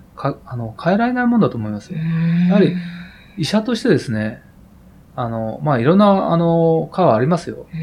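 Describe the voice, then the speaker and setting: A man's high voice with very wide pitch swings over noticeable background noise. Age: 50s. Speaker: heart surgeon. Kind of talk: interview. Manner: hesitant, many fillers.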